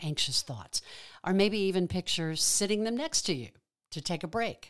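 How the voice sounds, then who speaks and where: A woman's plain, everyday voice, fairly low in pitch, with lively intonation on a very clean recording with a silent background. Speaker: pastoral prayer guide. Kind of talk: guided prayer meditation. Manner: calm, slow, soothing, with long pauses; gentle, reassuring, pastoral.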